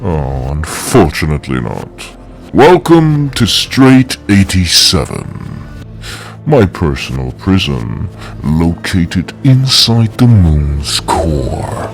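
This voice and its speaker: In a put-on character voice, a man speaks very slowly with a very deep, low pitch and very wide pitch swings, over clear background noise. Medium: machinima. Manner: grandiose, commanding.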